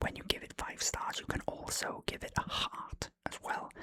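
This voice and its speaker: Someone whispers in a Welsh accent. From Wales. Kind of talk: ASMR film review talk. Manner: whispered; relaxed, casual.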